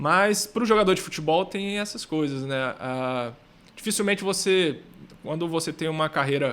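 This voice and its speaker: Moderate pace and ordinary pitch variation from a man with a normal speaking voice, fairly high in pitch. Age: 30s. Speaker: footballer and financial educator. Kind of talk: podcast interview.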